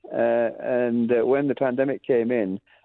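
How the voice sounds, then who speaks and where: A man with a Lancashire accent at a moderate pace. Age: 70s. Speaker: music school founder. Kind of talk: radio interview. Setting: radio interview. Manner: halting.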